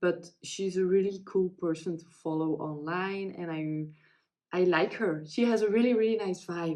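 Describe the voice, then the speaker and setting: Speaking with a Dutch accent at a fairly slow pace, the voice has a dark, mellow tone and big swings in loudness. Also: woman, fairly low pitch for a woman, ordinary pitch variation, hardly any pauses. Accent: non-native English, Dutch-speaking. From Belgium. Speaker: crafting vlogger. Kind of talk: casual chat. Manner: halting, many fillers.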